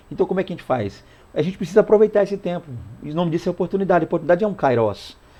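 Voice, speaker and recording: This dark, mellow voice moves at a very fast pace with ordinary pitch variation. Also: man, high pitch for a man. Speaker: Bible teacher. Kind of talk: Bible lesson teaching. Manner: hurried, stumbling.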